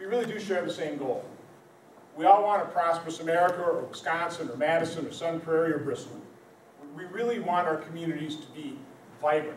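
Very fast speech with fairly even intonation, audible room echo and light background noise. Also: man. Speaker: politician addressing a town hall. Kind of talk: public speech. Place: hall. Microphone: camera far.

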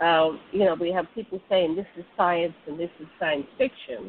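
A woman with a normal speaking voice talks at a fairly slow pace with ordinary pitch variation. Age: 60s. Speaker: online radio show host. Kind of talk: casual interview chat. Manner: casual, laughs often.

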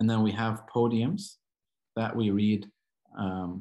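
A man talks with an American accent at a moderate pace. His pitch varies in an ordinary way over a quiet background. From Southern California. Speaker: Coptic Orthodox priest; guest. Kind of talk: lecture. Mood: calm, earnest. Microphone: video call.

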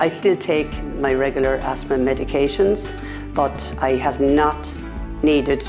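Clear music plays behind a woman who speaks at a fairly slow pace. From Ireland. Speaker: patient advocate. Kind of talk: interview answer. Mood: calm, earnest. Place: office. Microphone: lapel.

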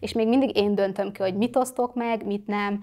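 The voice goes at a moderate pace over a quiet background. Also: woman. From Hungary, Kecskemét; Hungary. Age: 20s. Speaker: social media influencer; interview guest, influencer. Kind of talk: interview. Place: studio. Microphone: lapel.

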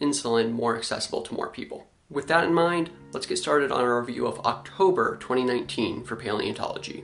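The man speaks at a fairly quick pace with ordinary pitch variation. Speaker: science channel host. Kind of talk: news review commentary. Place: home room.

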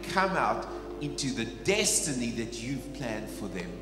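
A man speaks at a fairly slow pace while music plays clearly in the background. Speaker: pastor. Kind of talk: prayer. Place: church. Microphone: handheld.

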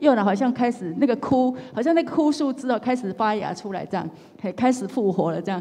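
Her pace is fairly quick. The woman's intonation is lively. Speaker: legal professional; speaker. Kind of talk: testimony. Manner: halting. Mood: warm, earnest, gentle. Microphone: handheld.

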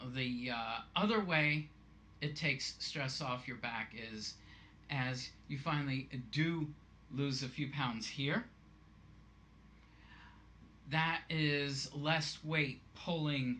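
A man speaks very slowly with long, frequent pauses. His tone is bright and sharp, with ordinary pitch variation. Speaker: fitness vlogger. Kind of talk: tutorial. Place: home room. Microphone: webcam.

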